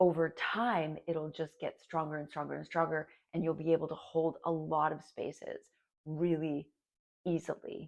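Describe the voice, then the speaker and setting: At a moderate pace, a woman speaks in a fairly low pitch. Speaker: energy worker. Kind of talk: tutorial. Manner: casual, encouraging.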